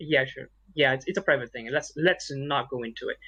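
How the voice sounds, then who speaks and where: A man talks with a Malaysian accent. His pace is very fast. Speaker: podcast co-host. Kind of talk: casual chat.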